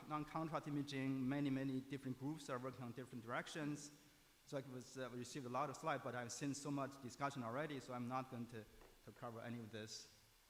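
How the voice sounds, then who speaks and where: At a very fast pace, a man speaks at medium pitch with fairly even intonation, and room echo is audible. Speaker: imaging researcher. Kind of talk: conference talk. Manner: halting, many fillers.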